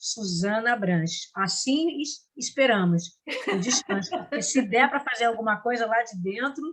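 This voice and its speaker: Speaking at a fairly slow pace, a woman sounds somewhat breathy and uses lively intonation. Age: 60s. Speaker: actress and drama teacher. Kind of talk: interview. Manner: halting, with many restarts.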